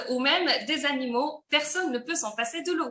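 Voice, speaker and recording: A woman's raised, projected voice carries a bright, sharp tone. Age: 30s. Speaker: company presenter. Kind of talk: sales pitch. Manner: hesitant with fillers.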